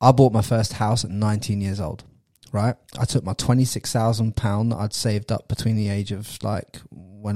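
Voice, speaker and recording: In a very clean recording with a silent background, a man speaks fairly quickly with a fairly low pitch. His tone is dark, mellow and somewhat breathy, and the sound is dry and close with no echo. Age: 30s. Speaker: podcast host. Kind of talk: casual interview. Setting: studio. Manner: animated.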